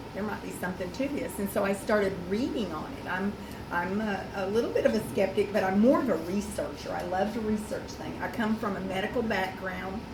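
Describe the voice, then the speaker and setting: A woman speaks at a fairly quick pace with hardly any pauses, at a medium pitch with ordinary variation. Audible room echo and noticeable background noise fill the recording. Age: 60s. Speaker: product ambassador giving testimonial. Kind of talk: testimony. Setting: meeting with audience.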